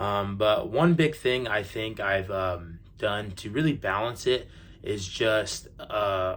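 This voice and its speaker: A man with an American accent speaks in an ordinary speaking voice with ordinary pitch variation. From USA, raised by Middle Eastern parents. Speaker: social media influencer. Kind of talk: casual vlog Q&A. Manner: casual with many fillers.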